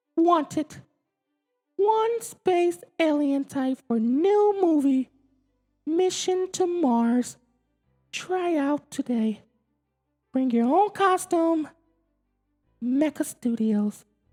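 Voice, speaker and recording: Very slow and broken by long, frequent pauses, the delivery comes in a put-on character voice. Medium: read story. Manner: cheeky, self-pitying.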